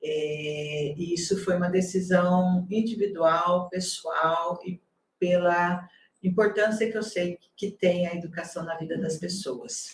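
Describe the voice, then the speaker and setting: A woman's somewhat breathy voice moves at a very slow pace. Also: fairly low pitch for a woman, fairly even intonation. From Brazil, Paraná (near Maringá). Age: 60s. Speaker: university campus director, nurse by training. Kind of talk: interview.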